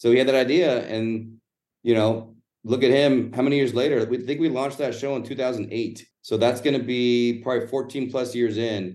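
A man's ordinary speaking voice with an American accent, at a fairly quick pace. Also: medium pitch for a man, fairly even intonation. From Los Angeles, East Side. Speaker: sports club marketing executive. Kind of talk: interview.

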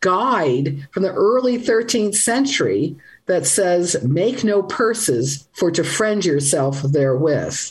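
Somewhat breathy and very slow, a woman speaks with very wide pitch swings while her loudness stays very even. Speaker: language writer and podcaster. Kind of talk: radio call-in interview. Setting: video call.

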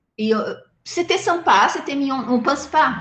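A woman with a Portuguese accent speaks at a moderate pace. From southern Brazil. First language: Portuguese (speaking French). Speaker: animal rights activist. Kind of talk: interview. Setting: video call.

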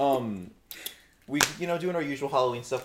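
A medium-pitched man at a fairly quick pace, ordinary pitch variation, and noticeable background noise. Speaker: podcast host. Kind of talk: casual banter. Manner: joking, loud.

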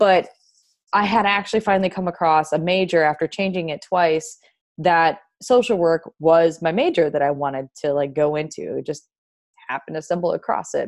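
A woman's plain, everyday voice, fairly low in pitch, with ordinary pitch variation over a quiet background. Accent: American. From Wisconsin. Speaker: podcast host, mindset coach. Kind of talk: personal story monologue.

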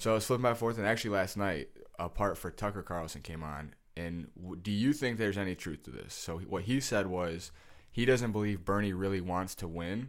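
With an American accent, a man talks at a fairly quick pace in an unremarkable speaking voice. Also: fairly low pitch for a man, ordinary pitch variation. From Detroit, Michigan. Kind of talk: casual chat.

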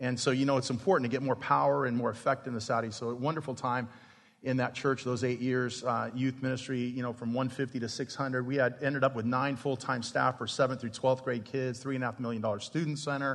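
A man talks at a fairly quick pace with hardly any pauses. His intonation is monotone and flat. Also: medium pitch for a man. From Arizona. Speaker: pastor and church planter. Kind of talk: conference talk. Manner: fast.

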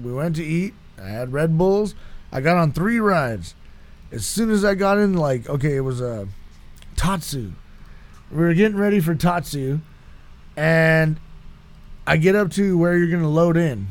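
A man with a fairly high pitch sounds animated, speaking at a moderate pace with lively intonation and long, frequent pauses. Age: 30s. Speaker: podcast guest, host's brother. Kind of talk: casual chat.

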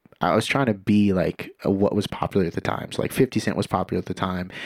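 A man at a fairly quick pace, fairly low in pitch, monotone and flat, in a dry, close sound with no echo. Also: very clean recording, silent background. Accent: American. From Santa Cruz, California. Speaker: musician and label owner. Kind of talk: casual chat.

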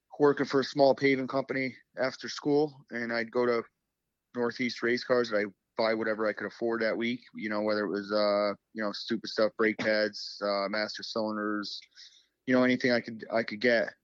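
In an ordinary speaking voice, a man talks at a moderate pace with medium pitch and fairly even intonation. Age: 30s. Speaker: race car driver. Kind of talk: casual chat.

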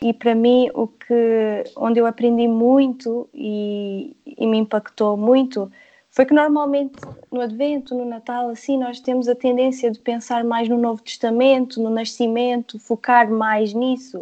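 Here a woman speaks with a high pitch and a dark, mellow tone. She goes at a fairly slow pace in monotone, flat intonation. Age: 30s. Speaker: devotional author. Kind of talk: casual chat.

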